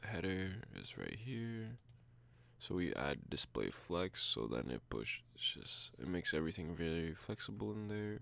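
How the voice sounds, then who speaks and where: Quietly and at a fairly slow pace, a man speaks with a very deep, low pitch that swings very widely. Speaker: coding video creator. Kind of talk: tutorial.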